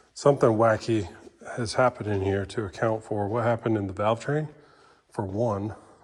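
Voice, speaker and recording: Fairly even intonation from a man, with noticeable background noise. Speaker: engine builder. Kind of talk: tutorial. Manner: halting; casual.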